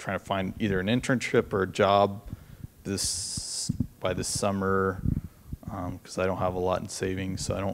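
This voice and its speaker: Noticeable background noise sits behind a man with a very deep, low pitch. He speaks at a fairly slow pace in a monotone, flat intonation. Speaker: student asking questions; audience member. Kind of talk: audience question. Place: meeting room. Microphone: handheld.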